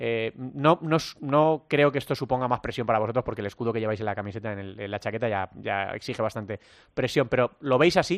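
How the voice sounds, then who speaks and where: A man at a medium pitch, very fast, with ordinary pitch variation and a dry, close sound with no echo against a quiet background. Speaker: futsal radio show host. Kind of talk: sports talk show.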